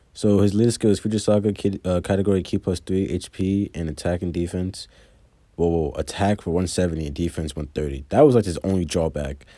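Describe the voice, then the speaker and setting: Over a very clean recording with a silent background, a man with a very deep, low pitch speaks at a fairly quick pace with ordinary pitch variation. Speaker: mobile game content creator. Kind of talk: casual gaming commentary. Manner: fast.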